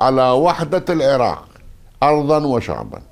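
In a quiet background, a man talks at a fairly slow pace. He has an unremarkable speaking voice with a fairly high pitch. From northern Iraq, Aqrah district near Mosul (Kurdish); northern Iraq. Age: 60s. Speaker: former politician and army officer; former politician. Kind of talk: interview. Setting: at his home. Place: home room.

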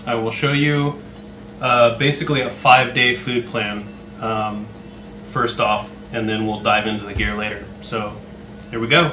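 A man at a fairly slow pace with long, frequent pauses, ordinary pitch variation, audible room echo and light background noise. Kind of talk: casual vlog chat. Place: home room. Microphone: camera far.

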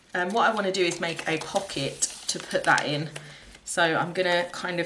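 Over noticeable background noise, a woman with a fairly low pitch speaks at a moderate pace in a monotone, flat intonation. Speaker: crafter vlogger. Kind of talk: casual vlog, craft tutorial. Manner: chatty, informal.

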